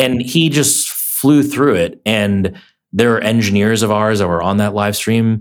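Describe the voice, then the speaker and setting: A man with an unremarkable speaking voice speaks at a fairly slow pace in a fairly low pitch, with ordinary pitch variation and very even loudness. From immigrant to America as a child, raised in Minnesota. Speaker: tech startup founder. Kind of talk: interview.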